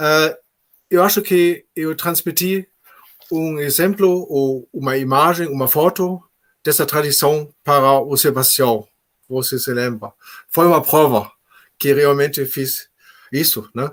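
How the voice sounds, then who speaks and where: Speaking with a German accent, a man takes long, frequent pauses at a very slow pace. His pitch is fairly high, with ordinary variation. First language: German (speaking Portuguese). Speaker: labour judge. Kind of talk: panel talk. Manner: halting.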